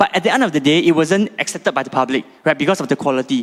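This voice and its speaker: Speaking with a non-native accent, a man makes very wide pitch swings. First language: not Chinese. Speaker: startup founder pitching. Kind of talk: pitch presentation. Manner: halting, with fillers and repetitions.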